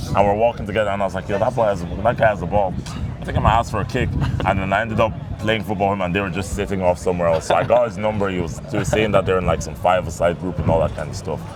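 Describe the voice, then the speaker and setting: Over noticeable background noise, a man with an Irish accent talks at a very fast pace in a fairly low pitch with ordinary pitch variation. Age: 20s. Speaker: comedian. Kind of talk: casual chat.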